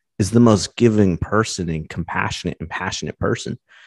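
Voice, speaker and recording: A man with an unremarkable speaking voice and an American accent talks at a fairly low pitch with ordinary pitch variation, the sound dry and close with no echo over a quiet background. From US West Coast, Los Angeles County, California. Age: 30s. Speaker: engineer and YouTuber in recovery from alcohol. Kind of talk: casual interview.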